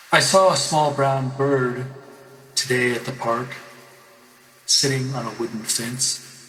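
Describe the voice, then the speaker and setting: Over music in the background, speech moves at a fairly slow pace with fairly even intonation and long, frequent pauses. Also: man, medium pitch for a man. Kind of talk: poetry reading.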